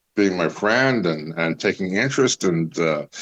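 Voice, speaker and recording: Speaking at a fairly slow pace, a man has a very deep, low pitch with ordinary pitch variation. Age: 60s. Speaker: actor. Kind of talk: casual chat. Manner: halting.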